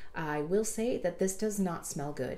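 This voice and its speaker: A woman with a plain, everyday voice, fairly low pitch and a moderate pace. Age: 30s. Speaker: beauty YouTuber, hairdresser and makeup artist; beauty YouTuber. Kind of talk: product review tutorial. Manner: casual, conversational. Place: home room.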